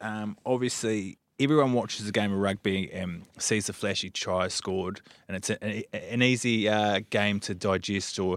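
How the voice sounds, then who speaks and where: The intonation stays fairly even, and the recording is very clean with a silent background. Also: man. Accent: New Zealand. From New Zealand. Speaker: podcast host. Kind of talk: interview.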